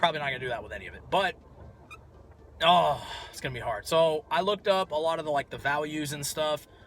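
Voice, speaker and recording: A man speaks at a fairly high pitch, his pitch varying in an ordinary way, while music plays in the background. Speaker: retro collector YouTuber. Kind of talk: casual vlog. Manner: animated.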